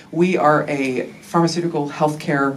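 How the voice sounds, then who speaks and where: A woman with an American accent, against noticeable background noise. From United States. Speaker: behavioural scientist. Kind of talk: conference talk. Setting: workshop with live audience. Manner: casual, with frequent fillers.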